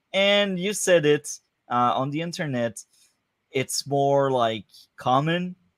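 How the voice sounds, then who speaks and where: A man with a French accent speaks at a fairly slow pace in a fairly high voice, with ordinary pitch variation. The recording is very clean and dry, close-miked with no echo and a silent background. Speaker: podcast host. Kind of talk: casual chat. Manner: hesitant, many fillers.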